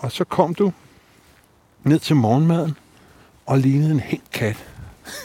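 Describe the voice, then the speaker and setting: A somewhat breathy man with a fairly high pitch, a dark, mellow tone, a very slow pace and lively intonation. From Denmark, North Zealand (Allerød). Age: 50s. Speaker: bassist and psychotherapist. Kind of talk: casual chat. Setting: outdoors.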